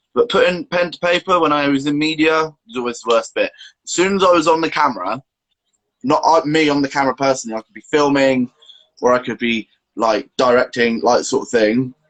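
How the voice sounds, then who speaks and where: A man speaks in an ordinary speaking voice at a fairly high pitch and a fairly quick pace, with ordinary pitch variation. His loudness swings widely, and the sound is dry and close with no echo. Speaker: youtuber with Tourette's. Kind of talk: casual chat. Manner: vocal tics, exclamations.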